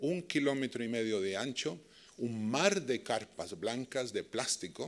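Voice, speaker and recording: A man with a Chilean accent speaks at a fairly slow pace. His medium-pitched voice has lively intonation. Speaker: dialogue and peace practitioner. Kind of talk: lecture. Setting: stage with audience.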